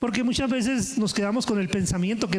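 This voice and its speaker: Fairly quick pace with ordinary pitch variation. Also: man. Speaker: pastor. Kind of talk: sermon.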